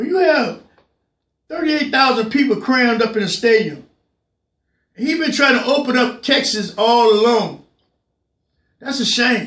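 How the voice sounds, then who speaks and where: A man shouts loudly at an extremely high pitch, moving at a moderate pace with ordinary pitch variation and long, frequent pauses. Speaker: political commentary show host. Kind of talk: political rant. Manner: loud, yelling; repetitive, stammering restarts.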